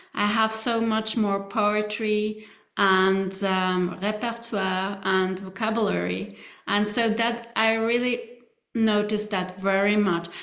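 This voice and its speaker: A woman with a non-native accent speaks very slowly at medium pitch, monotone and flat, with very even loudness and audible room echo. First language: not English. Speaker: trainee. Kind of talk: group feedback discussion.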